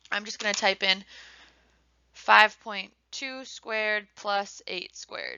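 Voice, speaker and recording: A woman with a plain, everyday voice speaks at a fairly slow pace, at a medium pitch with ordinary pitch variation. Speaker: math teacher. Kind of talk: tutorial.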